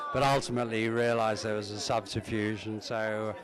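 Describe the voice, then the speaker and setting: A man speaks with a southern English accent at a moderate pace. Noticeable background noise can be heard. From England, Uxbridge (west London). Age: 70s. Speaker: family member. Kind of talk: reminiscence. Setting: family reunion gathering. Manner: halting, many fillers.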